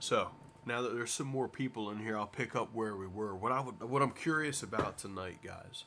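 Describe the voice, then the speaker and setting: Loud and bright, sharp in tone, a man speaks at medium pitch and a fairly quick pace with ordinary pitch variation. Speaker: livestreamer. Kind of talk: casual chat.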